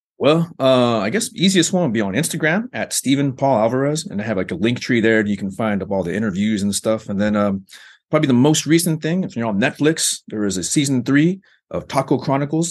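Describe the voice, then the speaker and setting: With an American accent, a man talks at a very fast pace and medium pitch, his intonation lively over a quiet background. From Arizona, US. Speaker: professor. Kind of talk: interview.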